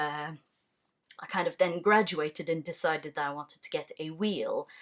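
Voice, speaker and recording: A woman speaks with a fairly low pitch. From Ontario, Canada (francophone). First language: French. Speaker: knitting podcaster. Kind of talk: casual vlog monologue. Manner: relaxed with frequent fillers.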